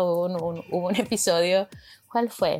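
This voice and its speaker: A woman of medium pitch talks at a moderate pace, recorded very clean over a silent background. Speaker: podcast co-host. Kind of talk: solo monologue, casual. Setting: home bedroom. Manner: halting, repeats words.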